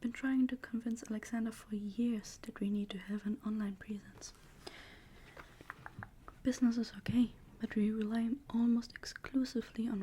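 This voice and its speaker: A soft-spoken woman whispers at a moderate pace, her loudness swinging widely. Noticeable background noise sits behind her. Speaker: ASMR creator. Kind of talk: novel reading, narration with dialogue. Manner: soft-spoken, whispered.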